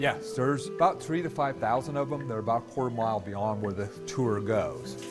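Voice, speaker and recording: With clear music in the background, a man keeps up a fairly quick pace. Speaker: cave tour guide. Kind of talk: interview answer. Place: tunnel cave. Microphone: lapel.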